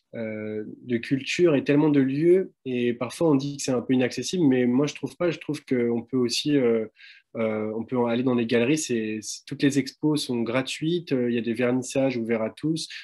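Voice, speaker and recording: A man speaks at a moderate pace with a dark, mellow tone and a medium pitch. His pitch varies in an ordinary way against a quiet background. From Paris region, France. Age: 20s. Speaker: visual artist. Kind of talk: live presentation of own work. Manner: halting, many hesitations; casual.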